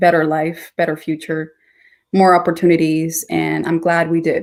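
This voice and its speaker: With an American accent, a woman uses an ordinary speaking voice at a fairly low pitch and moderate pace on a very clean recording with a silent background. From Ecuador until age nine, then USA. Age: 20s. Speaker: crypto content creator and dancer. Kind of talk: casual interview chat. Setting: live stream.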